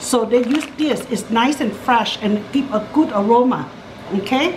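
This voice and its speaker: A woman speaks at a high pitch. Noticeable background noise sits behind her. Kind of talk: cooking tutorial. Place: kitchen. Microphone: camera far.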